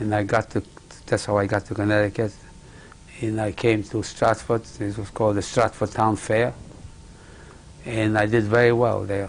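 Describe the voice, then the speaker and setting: Over noticeable background noise, a man speaks at a moderate pace with long, frequent pauses. His pitch is fairly low and his intonation is monotone and flat. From Poland. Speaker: Holocaust survivor. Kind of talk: oral history interview. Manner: halting.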